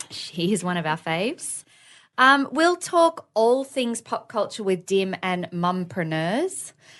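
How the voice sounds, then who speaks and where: Over a quiet background, a woman with an Australian accent talks at a very slow pace, her pitch swinging very widely. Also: medium pitch for a woman. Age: 30s. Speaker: podcast co-host. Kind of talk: casual chat.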